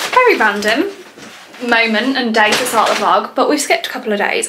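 A woman speaks in a raised, projected voice at a fairly quick pace. Her pitch swings very widely over noticeable background noise. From North Wales. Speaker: vlogger. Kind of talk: casual vlog monologue. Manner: chatty, animated.

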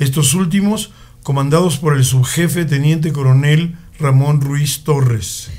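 A man talks in a normal speaking voice at a fairly high pitch. His pace is fairly slow, with ordinary pitch variation and very even loudness. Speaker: radio chronicle narrator. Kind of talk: radio chronicle narration, historical news-style reading. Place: studio.

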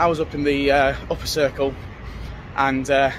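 A man's voice comes through dry with no echo, with noticeable background noise. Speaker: vlogger reviewing a play. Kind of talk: casual vlog chat. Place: street. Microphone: phone near.

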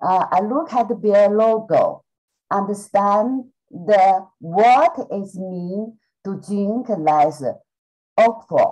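This is a woman's voice. She talks at a very slow pace. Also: quiet background. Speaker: student. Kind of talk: casual chat. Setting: video call. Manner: halting. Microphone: video call.

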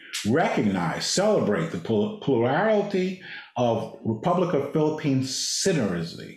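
There is audible room echo around this man's voice. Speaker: diplomat, former ambassador. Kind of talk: slide presentation. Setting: video call. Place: office. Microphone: video call.

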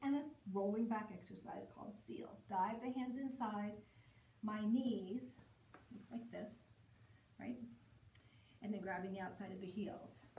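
A woman speaks somewhat breathily at a fairly slow pace. The room echo is audible, with light background noise. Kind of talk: exercise class instruction. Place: home room. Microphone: camera far.

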